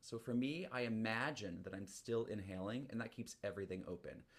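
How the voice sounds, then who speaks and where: The speaker is a man. His voice is pitched in the middle range. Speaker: flute teacher. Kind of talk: group music class with guided breathing. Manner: fast; energetic.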